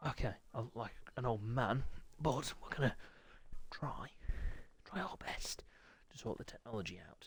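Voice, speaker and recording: The speaker has a British accent and talks at a moderate pace. Long pauses come often. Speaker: sim racing league host and commentator. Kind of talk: live game commentary stream. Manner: hushed, trying not to shout.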